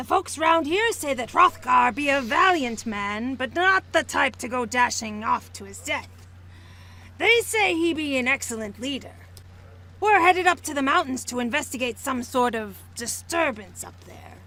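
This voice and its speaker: The speaker uses a put-on character voice. It sounds female and moves at a moderate pace. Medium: fan dub. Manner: blunt, hearty.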